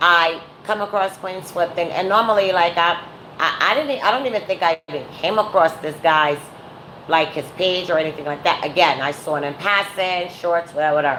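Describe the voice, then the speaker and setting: Noticeable background noise runs under a woman's voice. She talks fairly quickly at a fairly low pitch with ordinary pitch variation. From New York, Brooklyn. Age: 40s. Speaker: YouTuber / live streamer. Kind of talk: casual live-stream commentary. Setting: at home, live stream.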